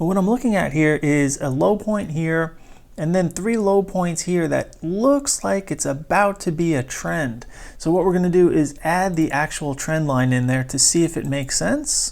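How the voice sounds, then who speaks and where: Spoken quietly at a moderate pace, the voice sits in a very clean recording with a silent background. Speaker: stock trading educator. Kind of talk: screen-share tutorial. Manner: quiet, subdued speaking.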